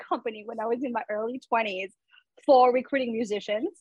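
A woman speaks at a fairly quick pace. The sound is dry and close with no echo. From France. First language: French. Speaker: musician and tech recruiter. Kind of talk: casual chat.

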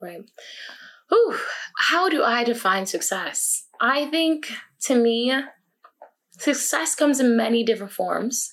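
She speaks with a fairly high pitch and ordinary pitch variation. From upstate New York, small town near Canadian border. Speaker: college student and YouTuber. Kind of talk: podcast interview.

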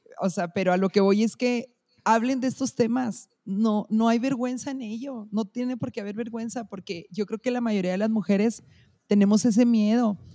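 This woman has a dark, mellow tone and fairly high pitch, talking at a moderate pace with fairly even intonation. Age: 30s. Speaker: educational support worker. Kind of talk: casual chat.

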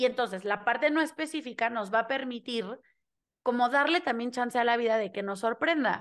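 A high-pitched woman with a Mexican accent, speaking at a fairly quick pace with ordinary pitch variation against a quiet background. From Mexico. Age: 20s. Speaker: human design reader and theatre teacher. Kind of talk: interview conversation.

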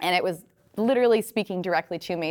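In an American accent, a woman speaks at a medium pitch and a fairly quick pace. It is a normal speaking voice. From Rhode Island, US. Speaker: fitness influencer and online entrepreneur. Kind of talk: interview.

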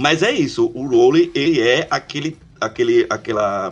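Lively intonation from a man, with music in the background. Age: 40s. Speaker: podcast co-host. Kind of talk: casual chat.

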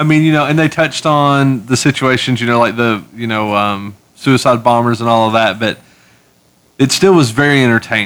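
A man speaks in an ordinary speaking voice at a moderate pace. His pitch is medium, with ordinary pitch variation. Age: 30s. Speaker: comic book podcast co-host. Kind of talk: casual chat.

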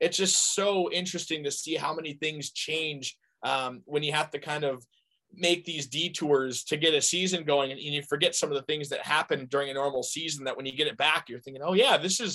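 A loud, fairly high-pitched man at a fairly quick pace, with ordinary pitch variation. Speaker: hockey play-by-play broadcaster. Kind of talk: casual interview chat. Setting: video call.

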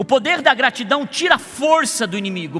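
A man's raised, projected voice at an extremely high pitch, with very wide pitch swings and noticeable background noise. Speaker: pastor. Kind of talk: sermon. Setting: church service.

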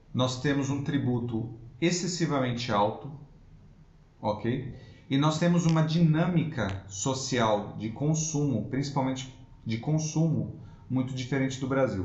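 A man speaks in a somewhat breathy voice with audible room echo. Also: medium pitch for a man, ordinary pitch variation, fairly slow pace. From Brazil, São Paulo city. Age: 30s. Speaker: immigration lawyer. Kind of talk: interview.

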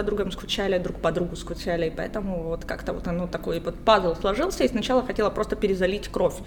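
Noticeable background noise sits under a woman's voice at a medium pitch. She goes at a fairly quick pace with ordinary pitch variation. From Luhansk, Ukraine. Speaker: writer. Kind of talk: casual chat. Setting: coffee shop.

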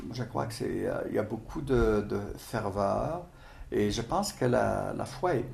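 A man talks at a very slow pace, with audible room echo. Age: 70s. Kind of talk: interview. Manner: halting.

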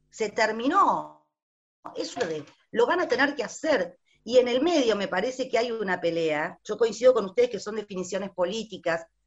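A woman has an unremarkable speaking voice, fairly high in pitch. Her intonation is lively and her pace moderate. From Buenos Aires, Argentina. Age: 50s. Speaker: teacher. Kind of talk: panel discussion.

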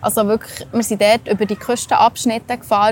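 A woman's voice with a fairly high pitch and fairly even intonation. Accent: Swiss. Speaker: travel podcast host. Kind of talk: casual chat.

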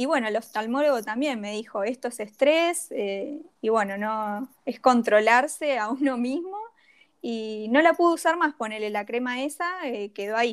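A woman's high voice moves with lively intonation at a fairly slow pace. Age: 30s. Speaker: graphic designer and skincare influencer. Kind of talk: casual interview chat.

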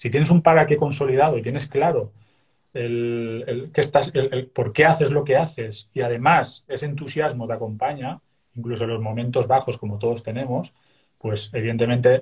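A man talks at a fairly quick pace with a medium pitch. His voice is somewhat breathy, with ordinary pitch variation. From Spain, Castellón. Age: 40s. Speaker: Buddhist meditation teacher. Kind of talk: interview. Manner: frequent hesitations and repetitions.

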